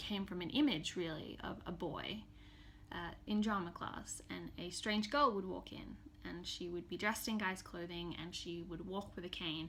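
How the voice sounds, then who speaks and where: The tone is bright and sharp, with vocal fry. Delivery comes at a moderate pace amid audible room echo. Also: woman. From Australia, Townsville, Queensland. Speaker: novelist. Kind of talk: scripted self-introduction to camera.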